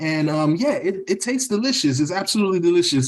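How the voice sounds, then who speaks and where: This man speaks with a Haitian accent. His intonation is lively. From US, raised partly in Haiti. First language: Haitian Creole. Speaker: podcast guest, Haitian-American professional. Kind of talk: casual chat. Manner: hesitant, many fillers and repetitions.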